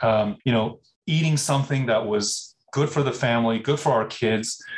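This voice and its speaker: With an American accent, a man at medium pitch speaks at a fairly slow pace in a somewhat breathy voice with ordinary pitch variation. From US Midwest (Minnesota), later Bay Area. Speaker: food company CEO. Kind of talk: interview.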